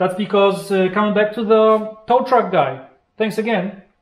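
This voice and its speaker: A man's speech carries audible room echo. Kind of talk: casual explanation of costs. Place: workshop. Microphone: camera far.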